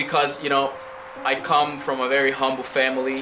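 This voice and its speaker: A man with a Spanish accent at a moderate pace, with audible room echo and music in the background. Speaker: immigrant, former firefighter. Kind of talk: interview. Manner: hesitant, many fillers and repetitions.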